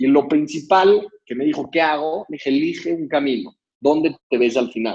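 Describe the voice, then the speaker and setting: With a fairly high pitch, a man talks in a normal speaking voice at a fairly slow pace with ordinary pitch variation. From Mexico City. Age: 20s. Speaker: social entrepreneur. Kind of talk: motivational talk.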